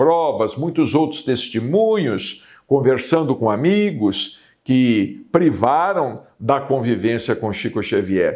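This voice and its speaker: Speaking at a very slow pace, a man uses vocal fry and very wide pitch swings. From Brazil, Minas Gerais (Uberaba). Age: 60s. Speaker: spiritist TV program host and medium. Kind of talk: spiritual talk / monologue.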